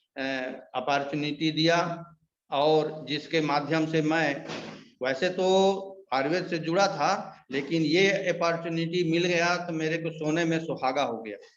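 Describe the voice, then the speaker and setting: The intonation stays fairly even. There is audible room echo. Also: man, fairly high pitch for a man. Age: 70s. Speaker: ayurvedic product distributor. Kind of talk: sales pitch.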